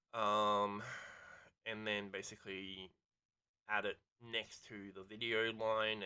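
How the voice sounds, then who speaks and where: A man mumbles. His pitch is fairly low. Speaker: gaming streamer. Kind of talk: casual gameplay commentary. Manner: mumbling; rambling with many ums and ahs.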